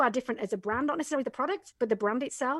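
Against a quiet background, a woman speaks with an English accent and ordinary pitch variation. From England. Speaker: Amazon business coach. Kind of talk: casual interview.

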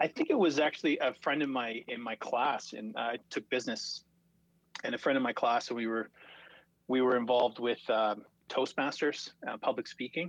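A man speaks in a normal speaking voice with medium pitch, fairly even intonation, and a moderate pace. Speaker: student association executive director. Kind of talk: casual chat.

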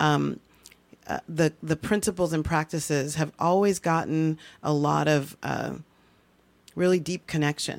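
A woman with a very deep, low voice speaks at a fairly slow pace, leaving long, frequent pauses. The recording is very clean, with a silent background. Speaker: author and inspirational speaker, stroke survivor. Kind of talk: interview. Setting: studio.

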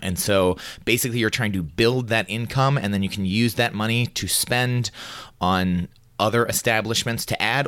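Lively intonation marks this man's speech, heard in a very clean recording over a silent background. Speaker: board game podcast co-host. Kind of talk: casual chat.

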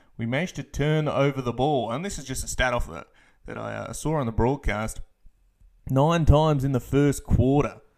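A man with an Australian accent talks at a fairly quick pace in a medium pitch, with ordinary pitch variation and big swings in loudness. The recording is very clean, with a silent background. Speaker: basketball podcast host. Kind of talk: postgame podcast recap. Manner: filler-heavy, casual.

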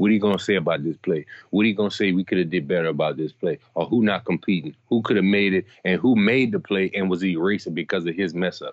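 A very deep, low male voice at a very fast pace. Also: ordinary pitch variation. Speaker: former college football player, guest co-host. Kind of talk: casual chat.

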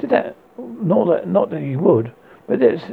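This man's voice sits fairly high, with a slightly husky edge and vocal fry. He speaks at a fairly slow pace.

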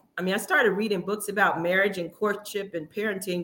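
Here is a woman with an unremarkable speaking voice at medium pitch. Her intonation stays fairly even. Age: 50s. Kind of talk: casual interview.

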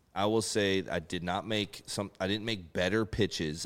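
A man has a normal speaking voice, fairly low in pitch, at a moderate pace. The recording is very clean with a silent background. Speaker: retired baseball pitcher. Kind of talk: casual chat.

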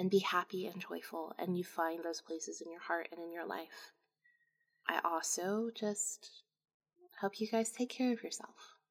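Her loudness swings widely as a woman speaks at a moderate pace, with a medium pitch and ordinary pitch variation. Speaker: podcast host. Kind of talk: ghost story telling, reading own fiction aloud. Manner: dramatic, emotional, first-person narration.

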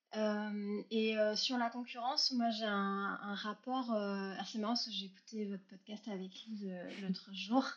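The speaker has an unremarkable speaking voice and talks at a fairly slow pace. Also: woman, fairly high pitch for a woman, fairly even intonation. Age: 30s. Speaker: entrepreneur, consultant. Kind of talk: casual interview.

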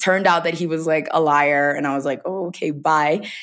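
Animated in tone, a woman with an American accent speaks at a fairly low pitch with ordinary pitch variation. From US South, rural Georgia. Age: 20s. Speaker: travel content creator. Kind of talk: casual interview chat. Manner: animated storytelling, many 'like' fillers.

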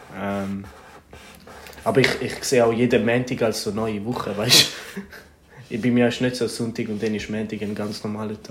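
A man speaks at a moderate pace in a fairly low voice with flat, monotone intonation. Noticeable background noise runs behind him. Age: 20s. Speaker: podcast co-host, student. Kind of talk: casual chat. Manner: laughing often.

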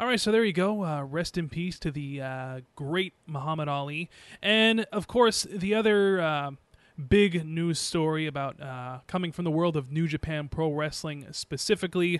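A man's ordinary speaking voice, fairly high in pitch, with ordinary pitch variation and a moderate pace. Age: 20s. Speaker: wrestling podcast host, former radio worker. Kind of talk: casual chat.

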